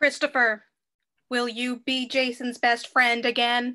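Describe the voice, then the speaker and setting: In a put-on, robotic character voice, a female-sounding speaker talks at a high pitch with monotone, flat intonation and a fairly slow pace. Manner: loud.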